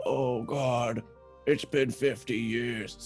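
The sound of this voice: A man's gravelly, put-on character voice, with clear music in the background. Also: medium pitch for a man.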